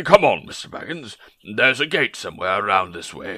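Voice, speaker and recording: A man puts on a character voice. It is fairly low in pitch and moves at a fairly quick pace. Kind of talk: dramatic book reading in a character voice. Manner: polite, tactful, a little evasive.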